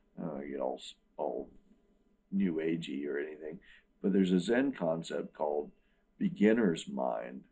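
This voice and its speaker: A man with an American accent speaks at a very deep, low pitch in a dark, mellow tone with vocal fry, lively intonation, and long, frequent pauses. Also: moderate pace. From US South, Wilmington, North Carolina. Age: 60s. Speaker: musician and guitar teacher. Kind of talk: interview.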